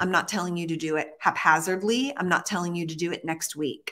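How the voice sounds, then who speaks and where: A woman speaks very fast in a fairly low pitch with ordinary pitch variation. Her tone is bright and sharp. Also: quiet background. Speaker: fitness trainer and live show host; fitness trainer, live show host. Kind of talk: casual live chat. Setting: live stream, studio or home. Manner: animated, chatty. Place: gym. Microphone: webcam.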